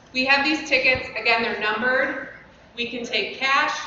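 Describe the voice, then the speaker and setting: Loud and high-pitched, a woman talks at a moderate pace over noticeable background noise, with audible room echo. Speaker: youth football parent volunteer organizer. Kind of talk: informational talk at parent meeting.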